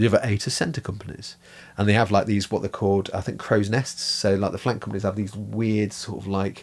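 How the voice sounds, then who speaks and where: A man speaks with an English accent at a fairly quick pace. His pitch is fairly low and his intonation fairly even. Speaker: miniature painting podcast co-host. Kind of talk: casual chat. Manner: jokey.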